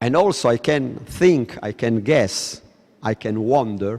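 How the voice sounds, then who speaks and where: Medium-pitched male voice with an Italian accent and lively intonation. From Italy. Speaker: lecturer. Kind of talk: lecture.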